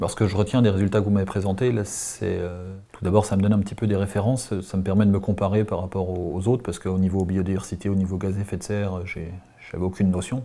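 A man's low, dark, mellow voice at a fast pace with fairly even intonation.

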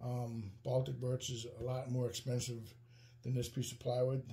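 A man's voice comes through somewhat breathy, with a dark, mellow tone. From Wisconsin. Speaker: woodworking YouTuber. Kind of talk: tutorial. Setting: workshop. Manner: casual, many fillers (um, uh). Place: workshop.

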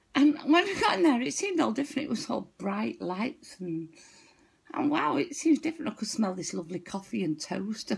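A woman speaks in an animated tone with a Manchester accent, her fairly high pitch making very wide swings. Her pace is fairly quick, and the background is quiet. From northern England. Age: 60s. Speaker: vlogger telling a funny story. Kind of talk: stand-up style comic storytelling, anecdote told to camera with frequent laughter. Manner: animated, giggly, chatty and rambling, laughing through her punchlines. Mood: amused, laughing storytelling. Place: home room. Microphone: webcam.

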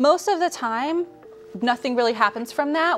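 A woman talks at a fairly quick pace with faint music in the background. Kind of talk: interview answer. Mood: warm, earnest. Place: studio.

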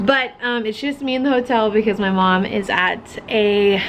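A woman talks with ordinary pitch variation while light background noise is present. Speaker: craft vlogger. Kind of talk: casual vlog chat. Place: home room. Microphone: phone near.

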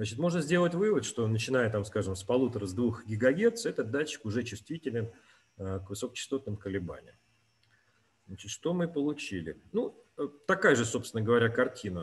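A somewhat breathy man with lively intonation, talking at a fairly quick pace broken by long, frequent pauses. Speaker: experimental researcher; webinar presenter. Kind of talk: scientific presentation. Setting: video call. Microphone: webcam.

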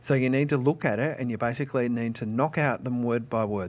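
This man speaks with an Australian accent. His pitch is medium, with ordinary pitch variation. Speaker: teacher. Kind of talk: tutorial.

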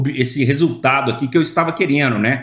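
Against a quiet background with audible room echo, a man with a fairly high pitch and a somewhat breathy voice talks at a fairly quick pace with ordinary pitch variation. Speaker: e-commerce YouTuber and online seller; e-commerce YouTuber, online seller. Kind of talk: screen-share tutorial. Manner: casual, filler-heavy. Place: home room.

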